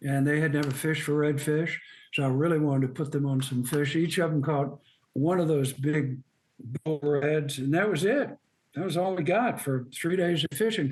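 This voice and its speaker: A man with a fairly high pitch talks in a somewhat breathy way, moving at a moderate pace with ordinary pitch variation. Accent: Southern US. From US South, Birmingham, Alabama. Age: 80s+. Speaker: outdoor writer. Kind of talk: interview.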